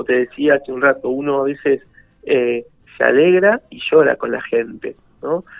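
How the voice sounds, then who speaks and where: Music in the background behind a man's fairly slow delivery. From Buenos Aires, Argentina. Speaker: parish priest. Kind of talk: radio interview. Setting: phone call.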